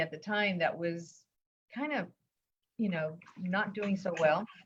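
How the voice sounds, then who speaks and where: Speaking fairly slowly, a woman uses a medium pitch and ordinary pitch variation. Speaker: business owner. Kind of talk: interview.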